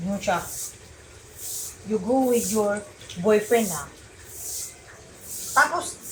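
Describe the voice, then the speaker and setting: Against noticeable background noise, a woman's words unfold at a fairly slow pace. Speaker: vlogger, domestic worker. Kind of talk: casual vlog monologue. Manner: animated, halting.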